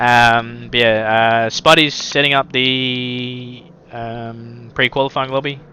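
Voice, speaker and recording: In an Australian accent, a man speaks at a very slow pace with monotone, flat intonation. Noticeable background noise is present. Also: medium pitch for a man. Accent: Australian twang. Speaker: sim racing commentator. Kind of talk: live commentary; stream host chat. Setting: live stream.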